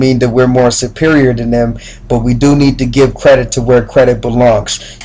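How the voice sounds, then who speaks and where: Flat, monotone intonation at a fairly quick pace. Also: man. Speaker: spoken word poet. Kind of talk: casual talk to camera.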